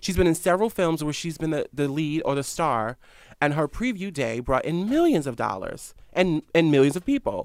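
On a very clean recording with a silent background, a man with an American accent and a plain, everyday voice speaks at a fairly high pitch and a moderate pace, with lively intonation. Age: 20s. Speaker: founder of a news media site. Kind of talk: casual interview. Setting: studio.

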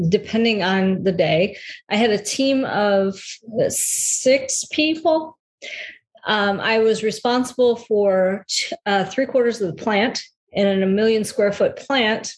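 Very slow and somewhat breathy, the voice carries an American accent and ordinary pitch variation. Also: woman. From US Midwest, Metro Detroit. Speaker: health and transition coach. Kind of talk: casual interview.

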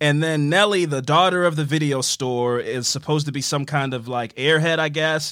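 Here is a man with a normal speaking voice, fairly high in pitch, with fairly even intonation. He keeps a moderate pace with hardly any pauses. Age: 20s. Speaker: podcast host. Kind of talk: casual chat.

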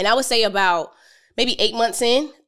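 Speaking at a fairly quick pace, a woman with a normal speaking voice shows ordinary pitch variation in a very clean recording with a silent background. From Philadelphia, US. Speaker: entrepreneur, financial educator. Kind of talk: podcast interview.

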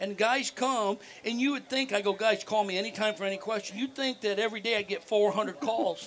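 A man with a high pitch talks at a fairly quick pace with hardly any pauses. His intonation stays fairly even over noticeable background noise. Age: 50s. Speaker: whitetail deer habitat consultant. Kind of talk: casual interview.

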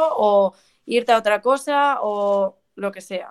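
Using a plain, everyday voice, a woman speaks at a fairly high pitch with fairly even intonation. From Madrid, Spain. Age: 20s. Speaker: professional golfer. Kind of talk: interview.

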